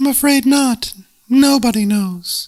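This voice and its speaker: Using a put-on character voice, a man talks at an extremely high pitch and a fairly slow pace with ordinary pitch variation. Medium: read story. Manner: chirpy, slightly condescending.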